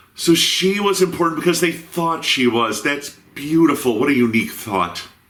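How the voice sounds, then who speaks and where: A man speaks with lively intonation while noticeable background noise runs behind him. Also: moderate pace. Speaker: video reviewer. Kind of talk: comedic review narration.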